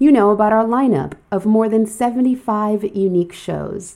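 Speaking at a fairly slow pace, a woman has a medium-pitched voice with a dark, mellow tone and an upbeat, warm tone. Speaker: radio host. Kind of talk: radio DJ patter. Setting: studio. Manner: warm and friendly.

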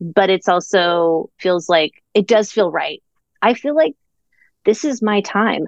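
A woman with an American accent has an unremarkable speaking voice at medium pitch. She speaks at a fairly slow pace, with a dry, close sound and no echo. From Orlando, Florida. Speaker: comedic writer and performer. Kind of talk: casual interview chat.

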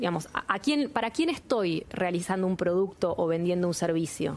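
A woman with an unremarkable speaking voice talks at a fairly quick pace. Her medium-pitched voice has lively intonation. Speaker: industry business leader. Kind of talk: interview.

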